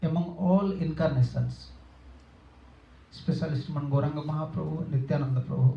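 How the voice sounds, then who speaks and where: With an Odia accent, a man speaks at a fairly quick pace in a somewhat breathy voice with a dark, mellow tone. His intonation is fairly even, broken by long, frequent pauses. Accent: Indian (Odia). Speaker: monk / spiritual teacher. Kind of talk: religious discourse. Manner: halting, with self-corrections.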